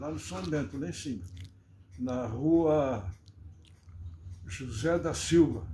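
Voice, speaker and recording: In audible room echo, a man speaks very slowly at a medium pitch with vocal fry and a dark, mellow tone, his delivery marked by very wide pitch swings, big swings in loudness and long, frequent pauses. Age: 80s+. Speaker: local historian. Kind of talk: interview.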